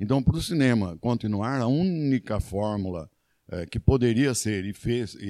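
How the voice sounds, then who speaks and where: With a dark, mellow tone, a man talks at a fairly low pitch and a moderate pace. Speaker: former mayor and history professor. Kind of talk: interview. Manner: halting.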